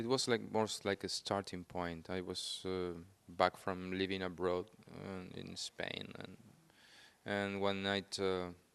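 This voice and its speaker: In a Spanish accent, a man speaks with a very deep, low pitch. His delivery is fairly slow and flat, in a monotone. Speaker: film director. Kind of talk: interview. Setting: on camera at film festival. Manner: halting.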